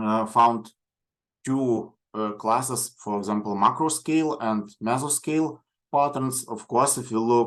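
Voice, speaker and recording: Over a quiet background, a man speaks with a Lithuanian accent at a fairly slow pace. His medium-pitched voice rises and falls in an ordinary way. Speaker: coastal geoscience researcher. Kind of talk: lecture. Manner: halting.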